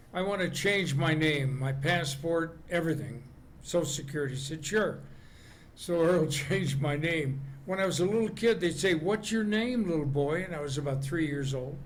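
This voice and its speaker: A man with an American accent talks at a fairly high pitch. Audible room echo surrounds his voice. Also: ordinary pitch variation, moderate pace. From Las Vegas, Nevada, US. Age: 80s+. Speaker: comedian. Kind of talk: interview.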